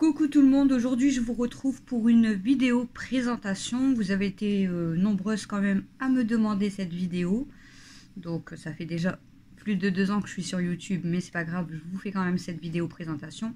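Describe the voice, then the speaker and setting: In a very clean recording with a silent background, a woman with a northern French accent speaks at a moderate pace in a dark, mellow, somewhat breathy tone with lively intonation. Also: medium pitch for a woman. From northern France (Nord / Pas-de-Calais). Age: 30s. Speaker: family vlogger. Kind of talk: casual talk to camera. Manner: hesitant, many fillers.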